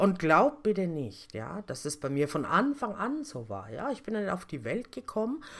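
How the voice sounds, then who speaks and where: In a very clean recording with a silent background, a woman speaks with very wide pitch swings. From Lower Franconia, Germany (Kitzingen). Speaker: podcast host and personal coach. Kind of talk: motivational talk. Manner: casual, conversational.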